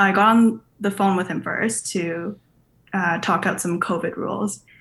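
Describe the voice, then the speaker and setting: A woman speaks at a fairly slow pace with a medium pitch. Her pitch varies in an ordinary way. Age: 20s. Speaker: podcast caller with relationship question. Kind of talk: personal story told on a call-in podcast.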